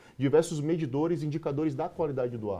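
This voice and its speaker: With a Bahian accent, a man speaks fairly quickly in a fairly high, dark, mellow voice with ordinary pitch variation against a quiet background. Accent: Bahian Brazilian Portuguese. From Bahia, Brazil. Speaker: sales manager. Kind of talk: interview.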